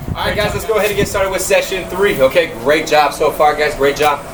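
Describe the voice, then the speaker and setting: With an energetic tone, a man talks at a fairly quick pace and a high pitch with ordinary pitch variation over noticeable background noise. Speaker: fitness instructor. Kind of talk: workout tutorial. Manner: energetic, encouraging; fast-paced.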